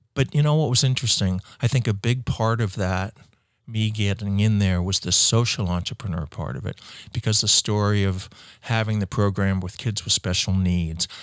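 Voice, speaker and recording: A man with a normal speaking voice, fairly low in pitch with ordinary pitch variation, at a moderate pace, in a very clean recording with a silent background. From US Midwest, Ohio. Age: 60s. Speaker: entrepreneur, company founder. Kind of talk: interview conversation.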